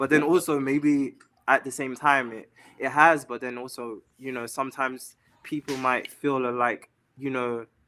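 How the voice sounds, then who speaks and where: A man with an English accent has a bright, sharp tone and flat, monotone intonation, though his loudness swings widely. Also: medium pitch for a man, moderate pace. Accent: pronounced English. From London, England. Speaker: singer-songwriter and model. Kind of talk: interview. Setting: live stream.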